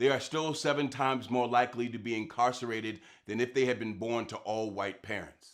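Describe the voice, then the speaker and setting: Fairly even in intonation, a plain, everyday voice moves at a fairly quick pace. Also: man, medium pitch for a man. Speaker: spoken word poet. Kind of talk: spoken word poem performance.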